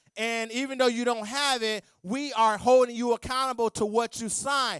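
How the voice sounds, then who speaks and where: A man speaks loudly and in an animated tone at an extremely high pitch. The sound is dry and close, with no echo. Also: very clean recording, silent background. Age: 40s. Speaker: accountant and guest speaker. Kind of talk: church talk on finances.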